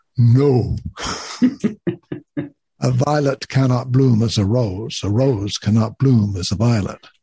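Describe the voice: Putting on a booming character voice, a man of medium pitch speaks at a fairly slow pace with ordinary pitch variation and long, frequent pauses.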